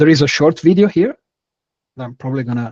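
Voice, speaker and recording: This man talks with an Italian accent and ordinary pitch variation. The sound is dry and close, with no echo. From Italy. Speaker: startup founder, architect. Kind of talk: webinar product presentation.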